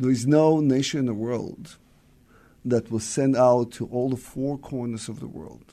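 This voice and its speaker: With a dark, mellow tone, a man speaks at a medium pitch and a fairly slow pace, keeping his intonation fairly even. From Israel, central (born in Soviet Union). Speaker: diplomat. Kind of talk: interview. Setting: studio.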